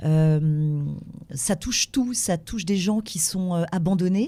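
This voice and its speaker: A dark, mellow tone with ordinary pitch variation in a very clean recording with a silent background. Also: woman. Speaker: voice actress. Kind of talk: interview.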